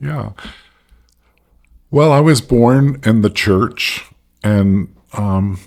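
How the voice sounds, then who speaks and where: With long, frequent pauses, a man talks at a very slow pace, with a medium pitch and ordinary pitch variation. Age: 60s. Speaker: former pastor and soul care mentor. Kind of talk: casual interview.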